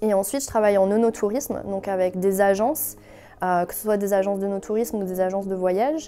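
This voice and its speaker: Music plays behind a woman talking at a fairly quick pace in a medium pitch. Her loudness swings widely. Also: ordinary pitch variation. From France. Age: 20s. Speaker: wine and sake consultant, entrepreneur. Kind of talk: interview testimony. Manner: hesitant, many fillers.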